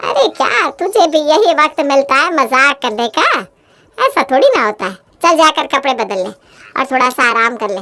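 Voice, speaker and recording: A woman puts on a character voice, high in pitch with lively intonation. Her pace is moderate. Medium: read story. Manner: scolding, fussy.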